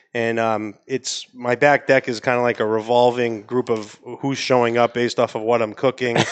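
The speaker is a man with an American accent. He talks at a medium pitch. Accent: New England, comes out more with wine. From Maine, US. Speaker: cigar company sales executive and dry-aging enthusiast. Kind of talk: casual chat, podcast interview. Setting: live studio audience, podcast cafe.

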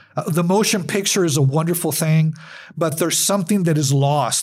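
A normal speaking voice from a man, fairly high in pitch, with an American accent and a moderate pace. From US Southwest, El Paso, Texas. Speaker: journalism professor and photographer. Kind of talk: interview.

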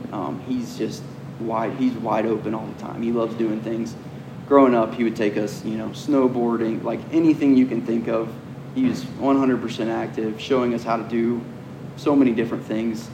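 A man with an American accent at medium pitch and moderate pace, fairly even in intonation, amid noticeable background noise and audible room echo. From US South, Georgia (Cumming). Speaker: professional off-road racer. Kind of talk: casual interview. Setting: race shop.

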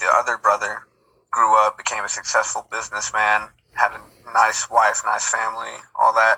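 A man with an American accent at a moderate pace, with long, frequent pauses. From North Texas. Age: young. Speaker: amateur photographer. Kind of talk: casual chat. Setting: video call.

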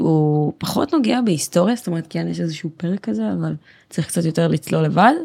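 A woman speaks fairly quickly in a fairly low, dark, mellow voice. The sound is dry and close with no echo. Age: 20s. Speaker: software developer. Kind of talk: casual interview chat. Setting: recording studio, no headphones.

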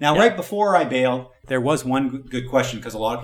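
This man's medium-pitched voice is heard through noticeable background noise. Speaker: podcast reviewer co-host. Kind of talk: casual podcast review chat.

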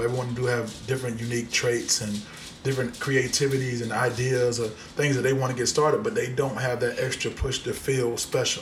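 A man with an American accent at a very fast pace, fairly even intonation, noticeable background noise and audible room echo. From Central Florida (Polk County). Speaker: co-founder of a mental health awareness movement. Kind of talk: casual chat.

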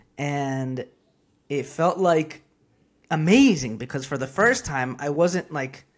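Someone with a Spanish accent speaks at a very slow pace on a very clean recording with a silent background. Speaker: comedian and business owner. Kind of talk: casual interview chat.

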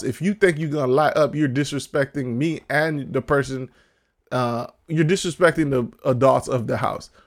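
With a plain, everyday voice, a man talks at a moderate pace, fairly high in pitch with ordinary pitch variation. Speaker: podcast host. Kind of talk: casual chat.

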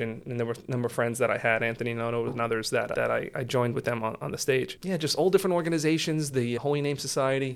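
A man's very fast delivery at medium pitch, with an American accent and ordinary pitch variation. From Staten Island, New York City. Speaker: judge. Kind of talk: interview.

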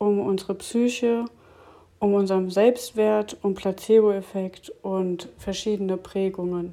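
A woman speaks very slowly at a medium pitch. Her tone is dark and mellow, and her intonation stays fairly even. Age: 30s. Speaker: podcast host and health coach. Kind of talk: podcast intro monologue.

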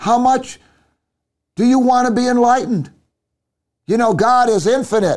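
A man's extremely high-pitched voice, animated, with ordinary pitch variation, a moderate pace, long and frequent pauses, very even loudness, and a very clean recording over a silent background. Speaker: preacher. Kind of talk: sermon. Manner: animated, fervent preaching with exclamations; halting, with fillers and restarts.

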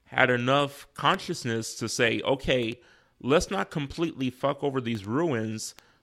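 A man with an ordinary speaking voice speaks fairly slowly with an American accent, his medium pitch varying in an ordinary way, in a very clean recording with a silent background. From South Bend, Indiana. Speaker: podcast guest. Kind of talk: casual chat. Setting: home studio.

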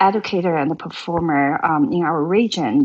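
With a Chinese accent, a woman talks at a fairly slow pace and a fairly low pitch. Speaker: traditional Chinese musician and actress. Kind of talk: casual interview chat.

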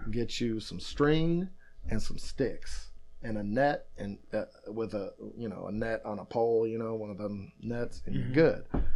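Here a man with a normal speaking voice and an American accent talks at a medium pitch with lively intonation. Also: moderate pace. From Michigan and deep south Louisiana, US. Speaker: hardcore punk band member. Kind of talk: casual chat. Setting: in person at the host's house.

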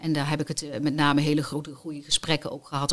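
A woman speaks with a very deep, low pitch. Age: 50s. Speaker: cancer survivor and volunteer hostess. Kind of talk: personal testimony. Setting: studio.

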